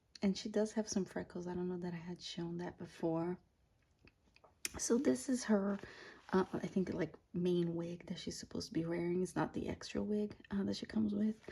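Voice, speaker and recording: Whispering at a moderate pace, a woman's voice comes through somewhat breathy. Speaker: doll collector YouTuber. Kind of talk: unboxing review. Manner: halting, many fillers.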